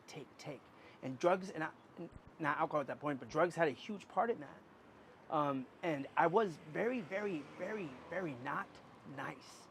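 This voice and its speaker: A man with an American accent, at a moderate pace, with lively intonation. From US Pacific Northwest, Portland. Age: 30s. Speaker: street musician. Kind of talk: interview. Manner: halting; talkative.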